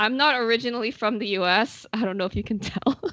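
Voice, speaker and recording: A woman with an Indonesian accent speaks at a fairly high pitch. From Indonesia, Jakarta. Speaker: podcast host. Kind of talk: casual interview chat. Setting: live video call.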